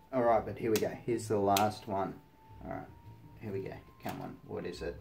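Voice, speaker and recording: Over music in the background, a man talks with an Australian accent. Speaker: hobby model kit YouTuber. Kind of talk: casual unboxing video. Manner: animated.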